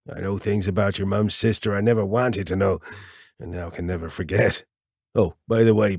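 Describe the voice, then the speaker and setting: A raspy, put-on character voice moves at a fairly quick pace. The intonation stays fairly even. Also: man, fairly low pitch for a man. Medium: read story. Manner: easygoing, joking.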